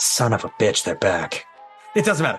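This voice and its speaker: A man speaks in a put-on character voice at a moderate pace. Clear music plays in the background. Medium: actual play. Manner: smug, dismissive.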